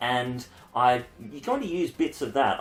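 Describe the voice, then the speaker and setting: A man's medium-pitched voice with an Australian accent. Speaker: university lecturer. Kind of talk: lecture. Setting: home. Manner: fast.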